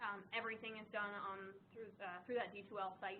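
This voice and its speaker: In an American accent, a woman talks at a fairly quick pace and a fairly high pitch, with audible room echo around her. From US East Coast. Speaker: nursing instructor. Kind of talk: lecture. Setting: classroom. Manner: fast when excited.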